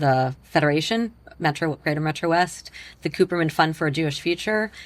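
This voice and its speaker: This woman, with an American accent, talks at a very deep, low pitch. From Long Island, New York. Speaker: philanthropist. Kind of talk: interview.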